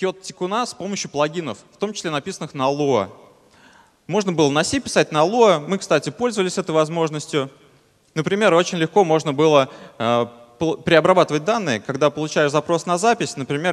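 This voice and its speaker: A man speaks at a fairly quick pace. Nothing intrudes from the quiet background. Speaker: conference speaker. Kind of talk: technical conference talk. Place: hall. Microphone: headset.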